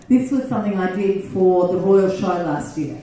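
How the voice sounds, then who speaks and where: In an Australian accent, a woman speaks at a fairly slow pace with lively intonation, with audible room echo and noticeable background noise. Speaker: gardening speaker. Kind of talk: talk to a club meeting. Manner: loud; animated.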